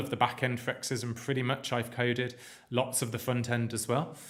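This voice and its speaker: A man with a British accent, medium in pitch and moderate in pace, with audible room echo. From UK. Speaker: coding instructor. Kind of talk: live-streamed lecture. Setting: live stream. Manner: casual, filler-heavy.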